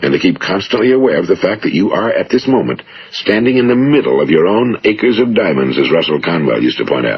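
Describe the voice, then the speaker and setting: A man rattles off his words at a very fast pace while noticeable background noise carries on behind him. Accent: American. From United States. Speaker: radio speaker and author. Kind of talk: motivational speech.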